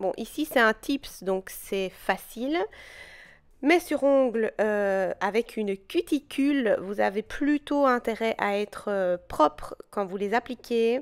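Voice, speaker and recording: A woman speaks very slowly with a fairly high pitch and lively intonation, her voice dry and close with no echo on a very clean recording over a silent background. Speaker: nail technician tutorial creator. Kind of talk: tutorial. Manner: hesitant, stumbling over words.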